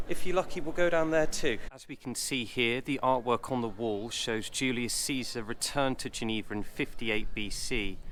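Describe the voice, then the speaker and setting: A man is talking at a moderate pace. His accent is English. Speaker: travel vlogger. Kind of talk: walking tour guide. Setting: outdoors. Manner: animated.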